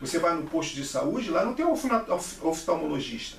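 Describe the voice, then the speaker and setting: A man speaks with lively intonation over noticeable background noise, his voice carrying audible room echo. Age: 60s. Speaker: vlogger. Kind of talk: opinion monologue. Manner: halting, with repeated syllables.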